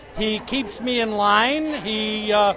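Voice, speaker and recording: With crowd noise behind him, a man speaks with ordinary pitch variation. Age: 70s. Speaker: homebrewer. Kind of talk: casual chat.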